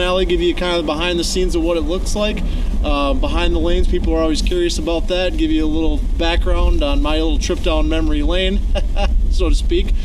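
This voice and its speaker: Over noticeable background noise and audible room echo, a man talks at a very fast pace with very even loudness. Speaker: comedian. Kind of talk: casual vlog narration. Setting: bowling alley.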